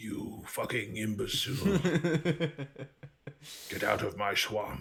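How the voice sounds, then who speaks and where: A man puts on a character voice at a medium pitch. He speaks at a fairly slow pace, with audible echo around him. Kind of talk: common, swearing. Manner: angry, insulting.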